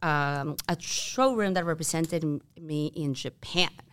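In a very clean recording with a silent background, a woman with a Peruvian accent speaks with a very deep, low pitch. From Peru (Lima). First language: Spanish. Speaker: start-up co-founder. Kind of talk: casual chat. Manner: animated.

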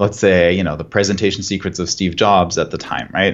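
In a German accent, a man speaks at a fairly low pitch. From Germany. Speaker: marketing director. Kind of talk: podcast interview.

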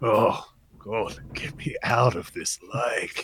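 A man's raspy, put-on character voice at a medium pitch, at a very slow pace. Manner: disgusted, complaining.

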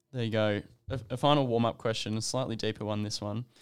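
With an Australian accent, a man talks very fast at a medium pitch and with fairly even intonation. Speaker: podcast host, medical student. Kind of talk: interview. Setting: studio.

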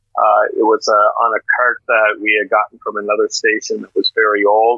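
A man with a Maritime Canadian accent at a moderate pace. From Atlantic Canada, Miramichi, New Brunswick. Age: old. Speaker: former radio announcer. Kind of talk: casual interview.

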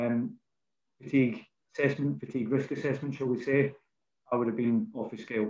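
A Scottish-accented man with a medium pitch talks at a fairly quick pace, his pitch varying in an ordinary way between long, frequent pauses. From Scotland. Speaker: rail industry safety manager. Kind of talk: casual interview chat. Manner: informal, friendly.

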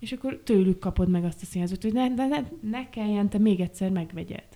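A woman speaks in a dark, mellow tone with ordinary pitch variation. Her recording is very clean, over a silent background. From Transylvania, Romania (Gyergyó). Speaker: set and costume designer. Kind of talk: casual chat.

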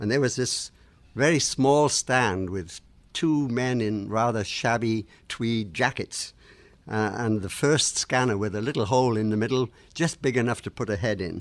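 A man of medium pitch speaks at a moderate pace with an English accent in a very clean recording with a silent background. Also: ordinary pitch variation. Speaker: radiation scientist, podcast host. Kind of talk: educational podcast discussion.

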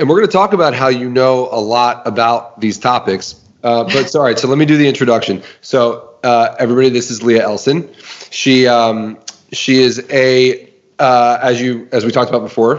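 This is an unremarkable speaking voice at a moderate pace with ordinary pitch variation. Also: man, medium pitch for a man. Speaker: podcast co-host. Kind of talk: casual chat.

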